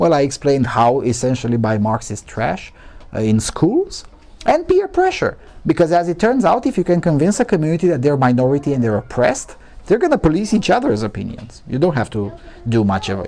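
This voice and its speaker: A man's fairly high, dark, mellow voice in a Romanian accent, fairly quick, with very wide pitch swings. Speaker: journalist, conference speaker. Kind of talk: conference Q&A answer. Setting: conference with live audience. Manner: halting, many false starts.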